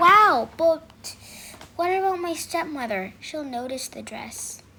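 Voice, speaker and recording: A woman's put-on character voice at an extremely high pitch, fairly slow, with very wide pitch swings and big swings in loudness. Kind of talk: child's bedtime story acting. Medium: read story.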